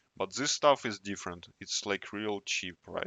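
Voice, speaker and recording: A man with a non-native accent, fairly low in pitch, at a fairly slow pace. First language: not English. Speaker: tech YouTuber. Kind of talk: casual tutorial. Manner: halting.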